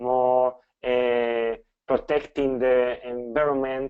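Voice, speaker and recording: This man has a medium pitch. He speaks with a Spanish accent. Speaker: professor. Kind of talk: lecture. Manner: halting.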